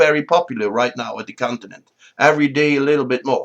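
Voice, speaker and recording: This man speaks with a Dutch accent at a fairly quick pace. His pitch is fairly high for a man. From Netherlands. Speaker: political commentator. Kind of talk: opinion monologue.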